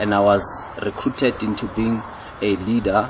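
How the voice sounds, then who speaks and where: Background noise is noticeable throughout. The intonation stays monotone and flat. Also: man. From South Africa, Tembisa township, Gauteng. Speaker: youth program leader and trainer. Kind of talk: interview testimony.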